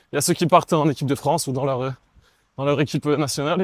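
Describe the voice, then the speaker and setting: A man talks at a very fast pace with a fairly high pitch and ordinary pitch variation. The sound is dry and close, without echo. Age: 20s. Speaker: professional volleyball player. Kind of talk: casual interview while running. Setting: outdoors, running in a city amid roadworks.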